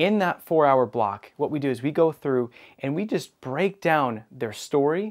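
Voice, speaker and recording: Against a quiet background, the speaker uses lively intonation at a moderate pace. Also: man. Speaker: business coach show host. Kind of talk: presenter monologue to camera. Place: studio. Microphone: lapel.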